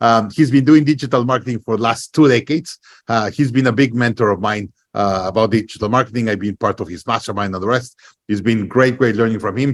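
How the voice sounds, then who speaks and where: A man with a slight Latin American accent, at a very fast pace. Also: medium pitch for a man, ordinary pitch variation, very clean recording, silent background. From Mexico. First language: Spanish. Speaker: podcast host. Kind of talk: interview podcast. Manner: hesitant, many fillers.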